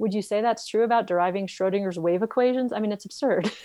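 A woman's medium-pitched voice with an American accent, ordinary pitch variation and a very fast pace. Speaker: animal behaviorist and author. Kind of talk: interview. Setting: video call. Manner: loud.

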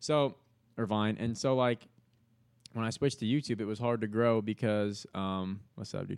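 A man with an American accent, medium pitch and ordinary pitch variation, at a moderate pace, in a very clean recording with a silent background. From New York. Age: 20s. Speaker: comedian and content creator. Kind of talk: casual chat. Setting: studio. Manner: loud; animated.

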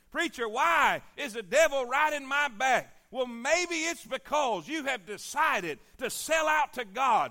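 Raised and projected, a man's extremely high voice carries a bright, sharp, animated tone in a Southern US accent, at a fairly slow pace with ordinary pitch variation. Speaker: pastor. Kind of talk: sermon. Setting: church. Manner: animated, rising preacher cadence with repeated build-up phrases; urgent, exhorting the congregation with call-and-response.

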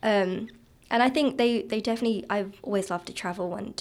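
Speaking at a fairly quick pace, a woman shows ordinary pitch variation and a slight southern English accent. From southeast England, Kent. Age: 20s. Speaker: guest, recent graduate. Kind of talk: casual interview chat.

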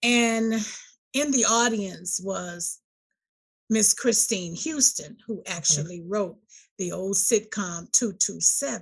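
Medium in pitch and somewhat breathy, a woman's voice moves very slowly with lively intonation. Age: 60s. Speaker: author and gospel show host. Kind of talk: testimony. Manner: animated.

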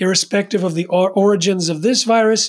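Speaking at a moderate pace, a man with an American accent keeps his intonation fairly even. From US East Coast. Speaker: activist author and filmmaker. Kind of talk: interview.

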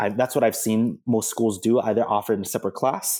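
Speaking at a very fast pace with an American accent, a man uses a medium pitch, a dark, mellow tone and fairly even intonation in a very clean recording with a silent background. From Filipino American, US. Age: 30s. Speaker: educator and doctoral researcher. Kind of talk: casual interview. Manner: halting, many fillers and restarts.

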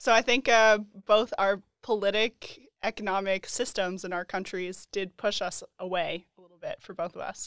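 Heard in a very clean recording with a silent background and a dry, close sound with no echo, a woman with an American accent and a plain, everyday voice speaks at a medium pitch and moderate pace with big swings in loudness. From Colorado, US. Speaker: program graduate guest.

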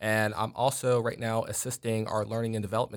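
On a very clean recording with a silent background, a man with an American accent uses an ordinary speaking voice at a fairly low pitch and a fairly quick pace. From New York. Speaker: software support technician. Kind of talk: casual interview.

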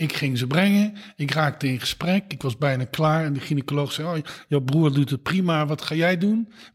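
Ordinary pitch variation and a fairly quick pace in a normal speaking voice. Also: man. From Netherlands, Eindhoven (Brabant). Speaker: gynaecologist, professor. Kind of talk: interview. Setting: at home.

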